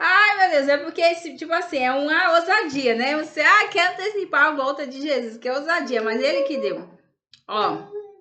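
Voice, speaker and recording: A woman projects her raised voice with very wide pitch swings. The room echo is audible. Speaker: religious video host. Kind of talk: casual religious talk to camera. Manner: halting.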